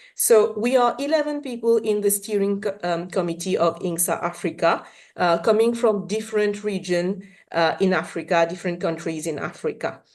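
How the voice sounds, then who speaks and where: With a Mauritian accent, a woman speaks at a moderate pace and a medium pitch. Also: ordinary pitch variation, quiet background. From Mauritius. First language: Mauritian Creole. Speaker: science policy network chair. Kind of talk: conference presentation.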